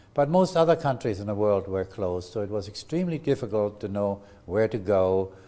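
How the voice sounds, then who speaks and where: A man with a German accent speaks at a fairly quick pace in a fairly low pitch, his tone dark and mellow and his intonation lively. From Germany. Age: 80s+. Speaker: lawyer. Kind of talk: oral history interview. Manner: halting.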